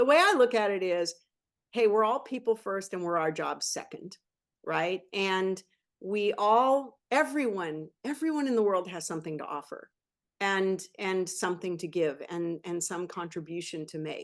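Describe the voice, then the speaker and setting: In an ordinary speaking voice of medium pitch, a woman talks at a moderate pace with lively intonation and big swings in loudness, against a quiet background. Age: 60s. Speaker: venture capitalist. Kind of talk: interview.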